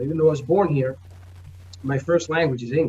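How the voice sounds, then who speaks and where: Somewhat breathy and fairly high in pitch, a man speaks with a New York accent and ordinary pitch variation. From New York, the Bronx. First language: Spanish. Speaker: comic book publisher. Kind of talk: interview.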